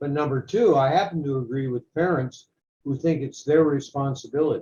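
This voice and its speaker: A man speaks at a moderate pace with a somewhat breathy, dark and mellow tone and a fairly high pitch. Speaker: podcast co-host. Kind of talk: casual debate.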